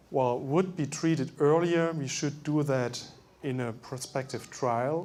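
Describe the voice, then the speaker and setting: A man with a German accent speaks at a fairly slow pace with ordinary pitch variation and audible room echo. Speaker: medical doctor. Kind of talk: lecture.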